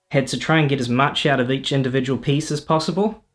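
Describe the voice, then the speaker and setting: Over music in the background, a man speaks with a New Zealand accent and ordinary pitch variation. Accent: New Zealand, noticeable. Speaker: electronic musician and streamer. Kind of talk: casual livestream talk explaining music setup. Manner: hesitant, many fillers. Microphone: first time using mic, feedback through laptop.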